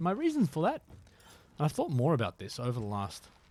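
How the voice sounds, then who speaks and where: A man with an Australian accent, speaking at a fairly quick pace. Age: 30s. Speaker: gaming streamer. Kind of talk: live gameplay stream chat. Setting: live stream. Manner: casual, filler-heavy.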